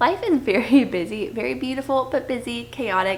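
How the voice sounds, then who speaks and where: Soft-spoken with vocal fry, this voice has lively intonation. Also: woman. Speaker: book vlogger, stay-at-home mom. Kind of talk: casual chat. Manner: hesitant fillers.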